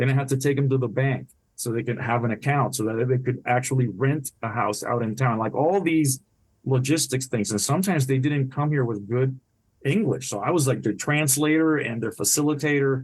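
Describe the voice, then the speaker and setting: Against a quiet background, a man with a Spanish accent speaks at a fairly quick pace in a medium, somewhat breathy voice with ordinary pitch variation. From Puerto Rico. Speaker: retired naval officer and author. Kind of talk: podcast interview.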